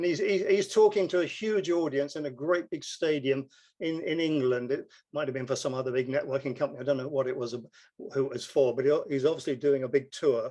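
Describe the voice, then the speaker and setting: Talking very fast in an English accent, a man with a fairly high pitch and a dark, mellow tone speaks with ordinary pitch variation. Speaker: network marketing distributor. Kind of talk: casual explanation on a group call.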